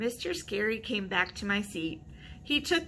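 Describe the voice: The intonation is full of life. It is plain reading aloud.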